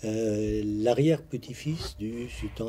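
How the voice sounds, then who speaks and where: Very slow-paced male voice with music in the background. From Lebanon. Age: 60s. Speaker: retired construction professional, sultan's descendant. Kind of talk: TV interview. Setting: TV studio.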